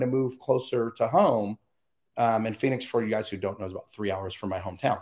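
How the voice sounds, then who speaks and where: A man with an American accent talks in an animated tone at a very fast pace. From US Southwest and Midwest. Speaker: interview guest, speaker on overcoming abuse. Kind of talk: personal testimony in interview. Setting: video call.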